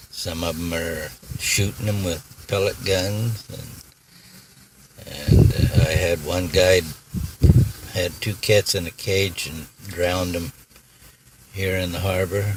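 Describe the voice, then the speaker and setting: A soft-spoken man with a very deep, low pitch, at a fairly slow pace with fairly even intonation and long, frequent pauses, over noticeable background noise. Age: 80s+. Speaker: retired iron worker, feeds feral cats. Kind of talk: interview answer.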